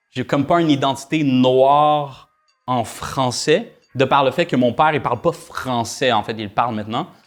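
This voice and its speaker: The voice has ordinary pitch variation and comes in a Quebec accent. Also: man, medium pitch for a man, moderate pace. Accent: Québécois French. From Quebec, Rouyn-Noranda. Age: young. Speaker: musician. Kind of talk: casual chat.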